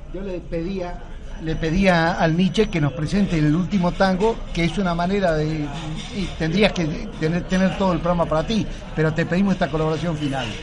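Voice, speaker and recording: A man speaks at a high pitch and a moderate pace with fairly even intonation. Audible room echo and noticeable background noise surround him. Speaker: radio host. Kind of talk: radio interview.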